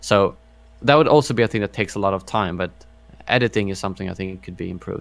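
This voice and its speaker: Very fast and fairly low-pitched, a man's voice shows ordinary pitch variation and big swings in loudness. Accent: non-native. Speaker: gaming YouTuber. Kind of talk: podcast interview. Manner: halting, many fillers.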